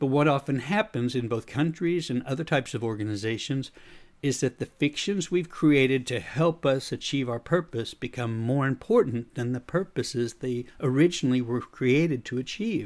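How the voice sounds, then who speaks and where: In a very clean recording with a silent background, a man with an American accent speaks at a medium pitch and moderate pace, with ordinary pitch variation and hardly any pauses. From USA. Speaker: leadership coach and podcaster. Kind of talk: scripted podcast monologue.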